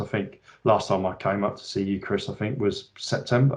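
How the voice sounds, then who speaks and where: Fairly low in pitch, a man speaks with fairly even intonation. His pace is moderate. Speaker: account manager. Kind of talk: casual chat. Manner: loud; halting.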